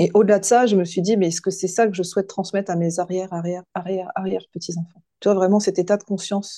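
A woman's dark, mellow voice races at a very fast pace with hardly any pauses, pitched medium and delivered in a monotone, flat intonation. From western France, near Nantes. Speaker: coach and hypnotherapist. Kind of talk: podcast interview. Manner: halting, many hesitations.

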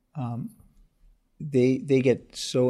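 Recorded very cleanly against a silent background, a man speaks in a dark, mellow tone with ordinary pitch variation. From South Africa. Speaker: urologist and software founder. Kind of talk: interview.

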